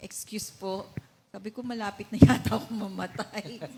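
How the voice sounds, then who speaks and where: Against noticeable background noise, a woman speaks at a fairly high pitch and a moderate pace, with ordinary pitch variation. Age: 60s. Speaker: church member giving testimony. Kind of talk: testimony. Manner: halting.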